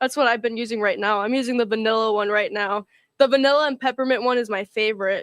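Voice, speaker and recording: Speaking at a very fast pace, a woman uses a fairly high pitch and fairly even intonation. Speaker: livestream co-host, small business owner. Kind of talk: casual live chat.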